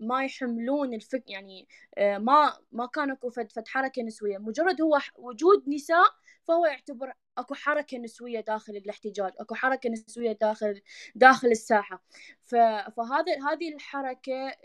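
A woman with an Iraqi accent speaks slowly in a high pitch, with ordinary pitch variation and big swings in loudness. The sound is dry and close, with no echo. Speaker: women's rights activist. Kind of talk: panel discussion.

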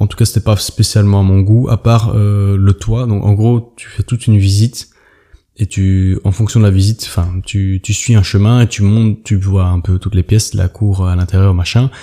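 Somewhat breathy and dark, mellow in tone, a man's fairly low voice moves at a moderate pace with monotone, flat intonation. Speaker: travel podcaster. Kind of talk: casual solo monologue. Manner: halting, many hesitations.

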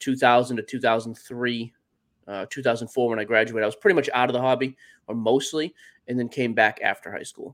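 A man with a plain, everyday voice speaks at a fairly quick pace and medium pitch. His intonation is fairly even, and the recording is very clean with a silent background. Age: 30s. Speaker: sports card podcaster. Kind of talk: casual interview.

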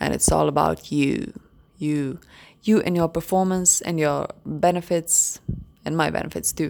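Speaking at a fairly slow pace, a woman talks with a Croatian accent. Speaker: podcast host. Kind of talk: solo podcast talk, partly read-out explainer. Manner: hesitant, many fillers.

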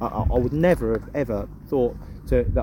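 A man with an English accent is heard against noticeable background noise. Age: 20s. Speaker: goalkeeping coach. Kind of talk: interview.

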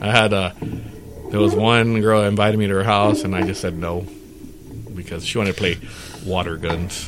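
Over noticeable background noise and audible room echo, a man with a fairly low pitch speaks at a fairly quick pace with fairly even intonation and long, frequent pauses. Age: 40s. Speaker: podcast host. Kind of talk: casual chat.

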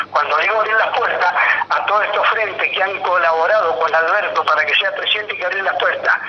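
A man speaks very fast in a high pitch, with fairly even intonation and very even loudness. Audible room echo and noticeable background noise fill the recording. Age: 60s. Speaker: party candidate, political activist. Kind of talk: radio interview. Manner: halting, repeats words.

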